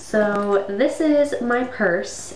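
There is audible room echo. The pitch shows ordinary variation. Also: woman. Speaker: vlogger. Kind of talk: casual vlog chat. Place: home room. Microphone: webcam.

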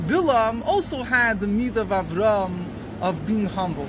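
Noticeable background noise sits behind a man with an extremely high pitch. His pitch variation is ordinary. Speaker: religious teacher. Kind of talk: lecture. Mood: earnest, explaining. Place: street.

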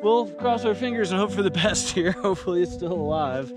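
Clear music plays in the background behind a man speaking at a fairly quick pace. The sound is dry with no echo. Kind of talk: casual vlog chat. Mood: disappointed but joking. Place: open country. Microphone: phone near.

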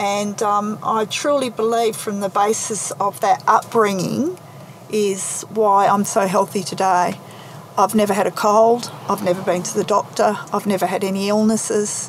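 Someone with an Australian accent talks at a moderate pace with fairly even intonation over noticeable background noise. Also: woman, medium pitch for a woman. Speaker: naturopath's daughter. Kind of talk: interview. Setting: in a parked car.

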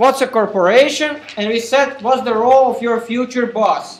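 A man at an extremely high pitch for a man, with an Eastern European accent, at a very slow pace. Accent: Slavic. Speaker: university professor. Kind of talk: recorded university lecture. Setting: classroom.

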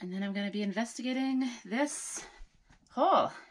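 This is a woman's voice. Her delivery is fairly slow. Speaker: DIY builder vlogger. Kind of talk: casual vlog chat. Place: home room. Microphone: phone near.

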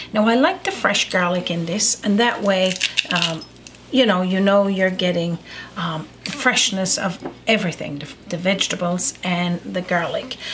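Noticeable background noise behind a woman speaking at a fairly slow pace. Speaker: home cooking show host. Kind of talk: tutorial. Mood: relaxed, friendly. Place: kitchen.

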